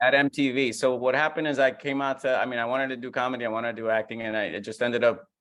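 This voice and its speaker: With a Puerto Rican accent, a man of medium pitch speaks very fast, his intonation fairly even and his pauses almost nonexistent. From Puerto Rico. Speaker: comedian. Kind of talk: casual chat.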